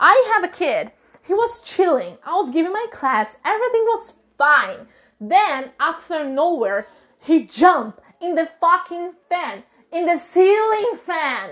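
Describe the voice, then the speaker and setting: In an animated tone, a woman with a Portuguese accent speaks at an extremely high pitch with very wide pitch swings. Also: fairly slow pace. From Brazil. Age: 20s. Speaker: podcast host, teacher. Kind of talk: casual monologue. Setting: at home, washing dishes.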